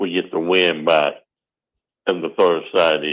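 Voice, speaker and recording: With a Southern US accent, a man speaks at a moderate pace. His pitch is very deep and low. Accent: Southern American. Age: 60s. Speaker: father of host, football fan. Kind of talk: casual sports chat.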